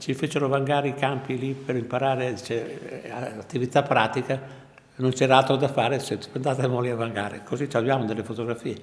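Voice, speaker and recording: The man's intonation stays monotone and flat. He speaks at a fairly quick pace. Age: 80s+. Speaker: war veteran, former student. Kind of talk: interview testimony. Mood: reminiscing, calm. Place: home room.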